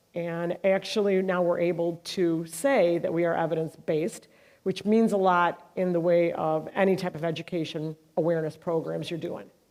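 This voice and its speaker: In a very clean recording with a silent background, a woman with a fairly low pitch and a dark, mellow tone speaks at a moderate pace. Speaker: mental health nonprofit leader. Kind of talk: speech. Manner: loud.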